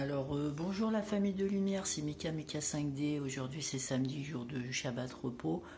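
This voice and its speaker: A woman's very deep, low, somewhat breathy voice with a dark, mellow tone and lively intonation, at a moderate pace with hardly any pauses, in audible room echo. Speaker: spiritual lifestyle vlogger. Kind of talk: casual vlog monologue. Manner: hesitant, many fillers.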